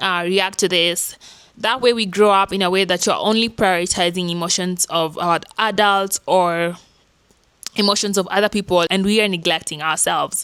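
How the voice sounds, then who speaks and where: A woman with a plain, everyday voice talks at a moderate pace, her medium pitch held to fairly even intonation. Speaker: self-help YouTuber. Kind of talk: casual vlog talk.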